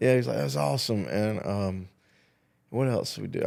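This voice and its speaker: This man's pitch sits fairly low. His tone is dark and mellow. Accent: Southern US. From South Carolina. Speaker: talk show host. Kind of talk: casual chat.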